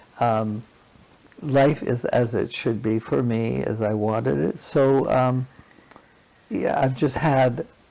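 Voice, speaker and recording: Pausing long and often, a man speaks at a very slow pace in a dark, mellow tone, his medium pitch varying in an ordinary way. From British Columbia, Canada. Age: 80s+. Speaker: patient advocate volunteer. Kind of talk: interview.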